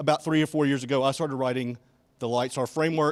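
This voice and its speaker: Recorded very cleanly against a silent background, a man with a slight Alabama accent talks at a fairly quick pace. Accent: slight Alabama Southern. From Alabama, US South. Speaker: software engineer, conference speaker. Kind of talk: conference talk. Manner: casual, with many fillers.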